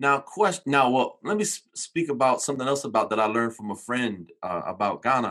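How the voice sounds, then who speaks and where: Lively in intonation, a man speaks at a fairly quick pace in a normal speaking voice of medium pitch. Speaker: podcast host. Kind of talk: interview.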